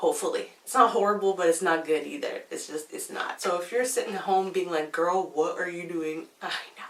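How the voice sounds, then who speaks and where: Amid noticeable background noise, a woman talks at a fairly quick pace with hardly any pauses and big swings in loudness. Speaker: beauty vlogger. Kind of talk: casual vlog talk. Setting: home, filming at night.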